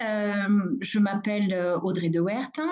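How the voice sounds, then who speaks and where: Her voice, that of a woman, lands at a medium pitch. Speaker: midwife. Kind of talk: webinar presentation. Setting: online webinar, screen sharing. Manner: hesitant, many fillers; deliberately calm pace.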